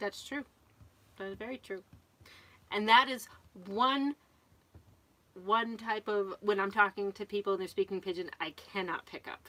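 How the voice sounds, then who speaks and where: An American accent shapes this woman's medium-pitched voice, which has ordinary pitch variation at a moderate pace. Her loudness swings widely, and she leaves long, frequent pauses. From Connecticut, New England. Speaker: RV vlogger. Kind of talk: casual live-stream chat.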